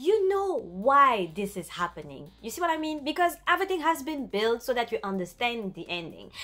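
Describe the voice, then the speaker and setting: A woman with a French accent speaks at a moderate pace in a high pitch, her bright, sharp tone marked by very wide pitch swings. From France. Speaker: YouTuber, anime and film commentator. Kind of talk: casual vlog monologue. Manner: animated.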